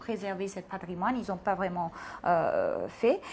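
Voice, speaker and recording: A woman speaks in an ordinary speaking voice. Her pitch is medium, and her pace is moderate. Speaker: TV host. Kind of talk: TV interview.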